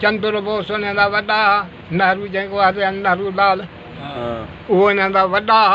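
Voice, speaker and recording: The intonation is flat and monotone, the sound dry with no echo, and light noise sits in the background. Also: man, high pitch for a man. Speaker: elder recounting history. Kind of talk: oral history interview answer. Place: shop. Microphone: phone near.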